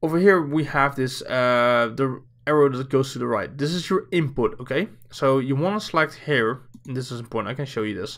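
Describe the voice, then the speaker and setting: The speaker has a Dutch accent, heard on a very clean recording with a silent background. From Netherlands. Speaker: streamer. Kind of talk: tutorial. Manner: casual with many fillers.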